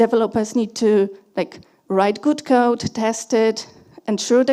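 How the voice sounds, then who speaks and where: Speaking at a moderate pace, a woman has a high voice with a dark, mellow tone and fairly even intonation. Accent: Polish. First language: Polish. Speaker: conference speaker, security engineer. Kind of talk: conference talk. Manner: halting, many fillers and restarts.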